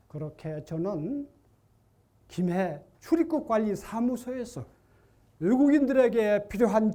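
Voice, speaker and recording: A man with a dark, mellow tone and a high pitch speaks at a very slow pace, his pitch swinging very widely. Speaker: retired volunteer, contest presenter. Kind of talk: prepared storytelling speech.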